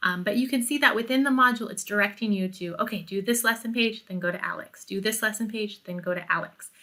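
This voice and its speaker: The speaker's tone is bright and sharp, and the pace is very fast. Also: woman. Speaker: college math instructor. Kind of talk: tutorial.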